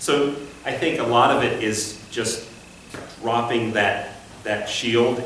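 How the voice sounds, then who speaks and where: Noticeable background noise and audible room echo surround this recording of a man. His voice is medium in pitch, with fairly even intonation. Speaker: conducting instructor. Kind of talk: class discussion. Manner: conversational.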